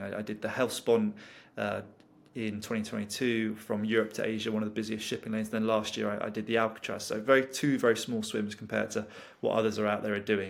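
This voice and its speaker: A man speaks very fast with a British accent. His voice is fairly low, with monotone, flat intonation. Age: 20s. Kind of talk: interview conversation.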